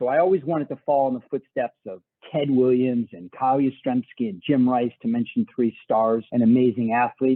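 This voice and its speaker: In a Boston accent, a man speaks at a medium pitch. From Boston, Massachusetts. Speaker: podcast host. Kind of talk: interview. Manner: casual.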